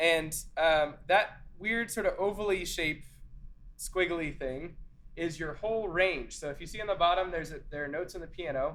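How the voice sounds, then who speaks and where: This man's voice sits at a high pitch. Audible room echo surrounds it. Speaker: church singing teacher. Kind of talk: lecture. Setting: classroom with in-person and zoom attendees. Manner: casual, many filler words.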